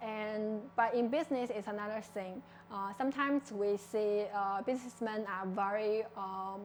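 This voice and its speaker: The pace is moderate and the intonation fairly even. Noticeable background noise runs underneath. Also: woman, fairly high pitch for a woman. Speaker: startup founder. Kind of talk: personal talk. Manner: hesitant, many fillers.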